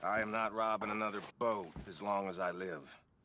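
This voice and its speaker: In a raspy, put-on character voice, the speaker goes at a moderate pace with fairly even intonation. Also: man, fairly low pitch for a man. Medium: video game. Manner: sneering, dismissive.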